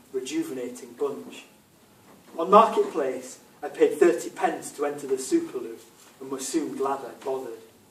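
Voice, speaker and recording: There is audible room echo and noticeable background noise. A man speaks at a moderate pace. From England. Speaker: author. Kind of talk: reading aloud.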